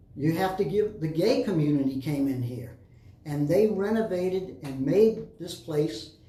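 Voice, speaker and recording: With an American accent, a man speaks at a high pitch in a dark, mellow tone with lively intonation and audible room echo. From Florida Keys, Key West. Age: 70s. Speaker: former mayor. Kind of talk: interview.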